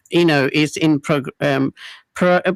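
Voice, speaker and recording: In a very clean recording with a silent background, a woman with a very deep, low pitch speaks with a Punjabi accent. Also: dry, close sound with no echo. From England. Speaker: radio presenter. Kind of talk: radio interview. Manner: halting.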